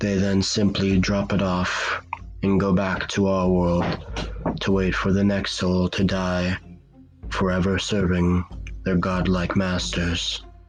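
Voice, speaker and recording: Over music in the background, a man talks at a very slow pace in a very deep, low voice, with very even loudness and fairly even intonation. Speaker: horror story narrator. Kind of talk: cosmic horror story narration.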